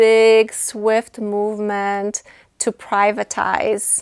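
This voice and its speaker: Speaking very slowly in a Polish accent, a woman uses a fairly high pitch and monotone, flat intonation on a very clean recording with a silent background. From Poland. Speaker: nonprofit executive director. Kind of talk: interview. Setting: studio. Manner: hesitant, many fillers.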